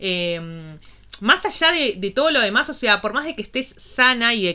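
A woman speaks at a fairly slow pace in a Rioplatense accent. Her fairly high voice makes very wide pitch swings. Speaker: podcast co-host. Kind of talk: casual chat.

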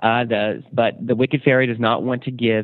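At a moderate pace, a man uses a normal speaking voice at a medium pitch. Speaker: TV show host. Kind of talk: casual chat. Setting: studio.

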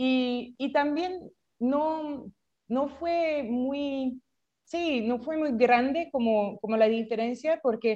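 Very slowly, a woman speaks in a high voice with a dark, mellow tone and ordinary pitch variation. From France. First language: French (speaking Spanish). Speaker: startup founder. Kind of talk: interview. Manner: halting, many repetitions.

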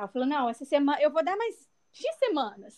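Very wide pitch swings in a high female voice, delivered at a moderate pace. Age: 20s. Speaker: physiotherapist and conversation group facilitator. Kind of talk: interview.

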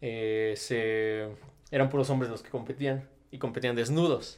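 A man with a normal speaking voice at a fairly slow pace, in a very clean recording with a silent background. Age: 20s. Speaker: body modification enthusiast. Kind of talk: casual chat. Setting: studio.

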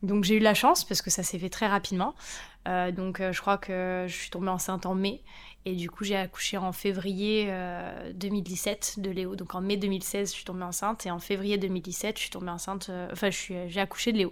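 A woman speaks at a medium pitch and a moderate pace, her intonation flat and monotone. The recording is very clean, with a silent background. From France. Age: 30s. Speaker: mother sharing her story. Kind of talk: interview.

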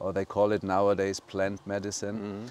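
A man speaks with a German accent. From Germany, Bavaria. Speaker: eco resort owner. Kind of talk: interview.

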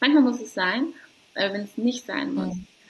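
A soft-spoken woman talks at a fairly slow pace. Her tone is warm. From Hamburg, northern Germany. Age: 30s. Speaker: doula. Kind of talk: casual interview. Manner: warm, soft.

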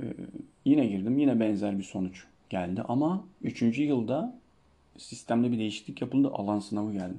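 An ordinary speaking voice from a man at medium pitch, moderate in pace, with ordinary pitch variation. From Turkey, Denizli (Çivril). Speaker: Turkish language teacher. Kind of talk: solo Q&A podcast, casual.

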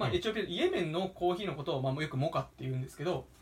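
This is a man speaking. His pitch is high. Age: 20s. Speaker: podcast co-host and coffee roaster. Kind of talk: casual chat.

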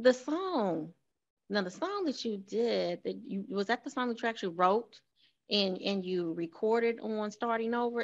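A woman's ordinary speaking voice, fairly high in pitch, with lively intonation, a moderate pace and a quiet background. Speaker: talk show host. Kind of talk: casual interview chat.

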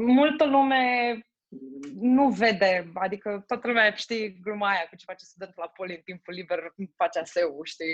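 A woman's medium-pitched, unremarkable speaking voice with lively intonation and big swings in loudness. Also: moderate pace. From Romania. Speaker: logistics manager. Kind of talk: interview.

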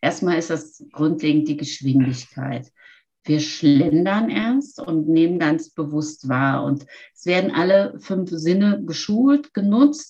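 A woman speaks very slowly in a fairly low pitch with a dark, mellow tone. Her intonation is lively. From Lower Rhine region, Germany. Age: 50s. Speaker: forest bathing instructor and yoga teacher. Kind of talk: interview.

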